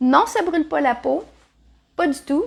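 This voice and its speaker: A woman with a Quebec accent speaks at a moderate pace, her intonation lively and her tone animated. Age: 60s. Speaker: natural health seller. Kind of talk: tutorial.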